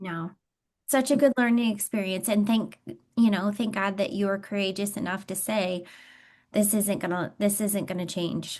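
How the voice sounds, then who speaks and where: A normal speaking voice with an American accent moves at a moderate pace with fairly even intonation against a quiet background. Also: woman, medium pitch for a woman. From Michigan. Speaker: interviewer and coach. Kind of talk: interview conversation.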